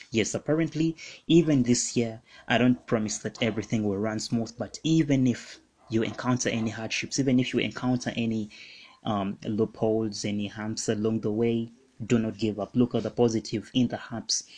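In a quiet background, a man talks at a moderate pace and a medium pitch. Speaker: podcast host. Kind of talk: radio DJ patter, upbeat welcome and show promo. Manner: warm, energetic, chatty; promotional, repeats station tag line.

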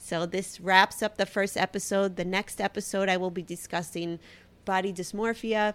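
In a Brooklyn accent, a woman speaks at a moderate pace and medium pitch with monotone, flat intonation. The recording is very clean, with a silent background. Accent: Brooklyn, heavy. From Brooklyn, New York. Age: 30s. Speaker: podcaster and blogger. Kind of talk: casual solo monologue.

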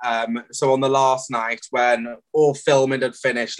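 In a South Wales accent, a man speaks at a medium pitch with monotone, flat intonation. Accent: South Wales valleys. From South Wales valleys. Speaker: reality TV contestant. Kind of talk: casual chat.

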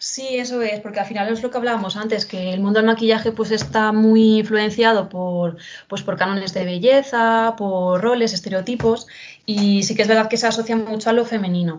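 A woman's fairly high-pitched, ordinary speaking voice with fairly even intonation at a moderate pace. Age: 20s. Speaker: social educator and professional makeup artist. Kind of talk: casual interview.

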